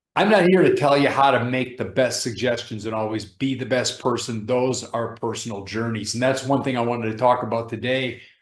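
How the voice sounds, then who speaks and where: Fairly quick, a man talks with audible room echo around him. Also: medium pitch for a man, ordinary pitch variation. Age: 60s. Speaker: professor and fitness YouTuber. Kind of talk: casual vlog talk.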